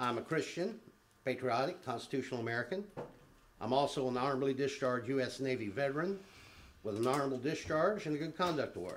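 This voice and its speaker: Audible room echo surrounds a man's voice. He talks at a very fast pace with lively intonation. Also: medium pitch for a man. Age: 60s. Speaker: public commenter at city council meeting. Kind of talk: public comment speech. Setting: city council chamber.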